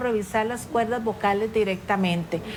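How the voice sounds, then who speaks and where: Speaking with a Costa Rican accent, a woman uses a fairly high pitch and fairly even intonation at a moderate pace. Noticeable background noise can be heard. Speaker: ENT doctor. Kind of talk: interview answering viewer questions.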